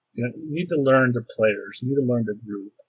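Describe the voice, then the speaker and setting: In a dry, close recording with no echo, a man talks at a medium pitch with a somewhat breathy voice and fairly even intonation. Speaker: tabletop role-playing game master. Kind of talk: casual talk about role-playing games. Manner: slow.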